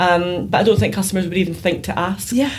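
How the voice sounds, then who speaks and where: A woman with a Glaswegian accent and a fairly low pitch, amid noticeable background noise and audible room echo. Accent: Glaswegian Scottish. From Scotland, Glasgow. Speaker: PR consultant. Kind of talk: interview conversation.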